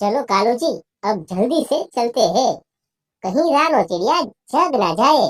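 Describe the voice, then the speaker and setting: A cartoonish character voice, whiny and fairly high in pitch, goes along at a fairly slow pace. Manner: whiny, full of airs.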